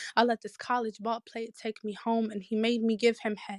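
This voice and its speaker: A woman speaks at a moderate pace in a fairly high pitch with monotone, flat intonation, the sound dry and close with no echo. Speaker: poet. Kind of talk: poetry performance.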